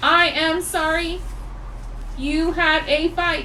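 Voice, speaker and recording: A woman uses a put-on character voice at an extremely high pitch. She speaks very slowly against clear background noise. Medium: read story. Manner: polite, soothing.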